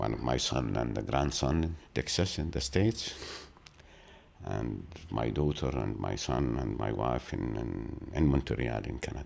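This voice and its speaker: The man's pitch is very deep and low. He speaks at a fairly slow pace with ordinary pitch variation. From Gaza Strip, Palestine. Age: 60s. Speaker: former journalist and TV producer. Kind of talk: interview. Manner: halting with fillers.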